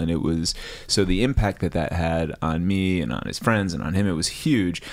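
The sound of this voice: A man speaks with an American accent at a low pitch. His tone is slightly mellow.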